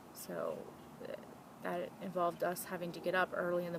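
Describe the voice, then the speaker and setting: Speaking at a fairly quick pace, a woman with an American accent has a fairly low pitch. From US South, Louisiana near New Orleans. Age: 30s. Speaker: vlogger. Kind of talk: personal testimony.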